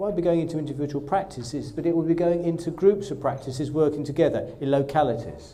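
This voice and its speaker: A man talks at a fairly quick pace with a fairly high pitch. Audible room echo surrounds his voice. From Essex, Southend-on-Sea. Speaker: GP and training program director. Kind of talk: presentation to trainee doctors. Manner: enthusiastic.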